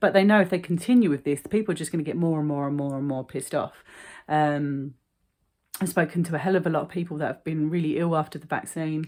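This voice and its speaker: In a London accent, a woman with a very deep, low pitch speaks at a very fast pace with ordinary pitch variation on a very clean recording with a silent background. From London, England. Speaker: vlogger. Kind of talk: casual monologue vlog. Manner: animated.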